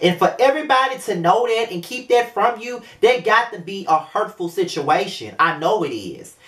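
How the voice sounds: The intonation is lively. The tone is fairly bright. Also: moderate pace.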